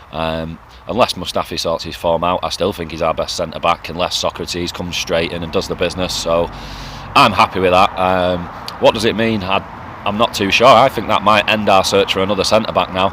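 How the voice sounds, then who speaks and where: Against noticeable background noise, the speaker uses an English accent, fairly even intonation and a fairly quick pace. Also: man, very deep, low pitch for a man. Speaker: football fan vlogger. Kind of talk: casual monologue vlog.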